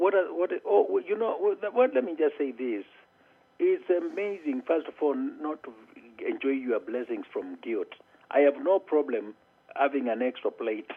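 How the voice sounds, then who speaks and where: A man talks at a fairly slow pace with a Kenyan accent. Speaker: motivational speaker. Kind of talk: interview answer.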